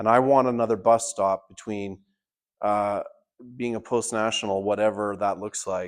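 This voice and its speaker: A man with a Canadian accent speaks at medium pitch and a moderate pace, with fairly even intonation. His is an unremarkable speaking voice, heard against a quiet background. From Canada. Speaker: party leader and political candidate. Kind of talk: town hall speech. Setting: town hall meeting with audience.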